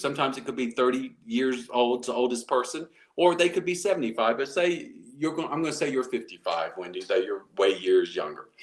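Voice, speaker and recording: A man with an American accent and vocal fry, at a moderate pace. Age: 60s. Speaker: motivational speaker. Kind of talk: interview. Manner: halting.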